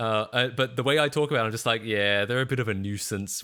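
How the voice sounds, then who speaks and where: A man is speaking. His pace is very fast. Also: very clean recording, silent background. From Australia. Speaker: streamer. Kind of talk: casual chat. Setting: live stream. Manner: halting, with fillers and repeats.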